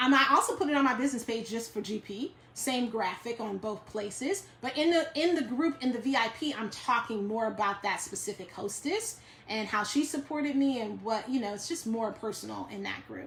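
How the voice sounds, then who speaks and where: A woman with a New York accent talks at a fairly quick pace with lively intonation and hardly any pauses against noticeable background noise. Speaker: direct sales team leader. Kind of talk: live stream Q&A. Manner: fast.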